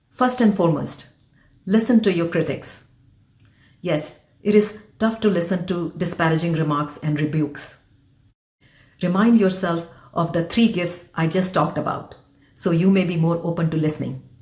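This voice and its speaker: A woman with an Indian accent speaks in a fairly low, somewhat breathy voice with a dark, mellow tone. Her pace is moderate, her pitch varies in an ordinary way, and she leaves long, frequent pauses. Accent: Indian, deeply rooted. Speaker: physician and leadership coach. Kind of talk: motivational talk to camera.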